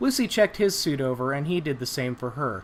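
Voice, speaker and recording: Speaking at a moderate pace, a man uses lively intonation at a fairly high pitch. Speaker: amateur audiobook narrator. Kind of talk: audiobook narration of a sci-fi short story. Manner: plain, natural reading without character voices.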